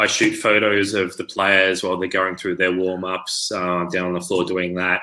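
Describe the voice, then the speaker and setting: Speaking in an Australian accent, a man uses a very deep, low pitch with a bright, sharp tone. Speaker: online learning professional and sideline sports reporter. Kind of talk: interview on live video chat.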